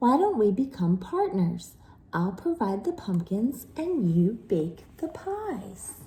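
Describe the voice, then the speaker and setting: In a put-on character voice, a woman speaks at a fairly slow pace and a medium pitch, with very wide pitch swings. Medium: read story.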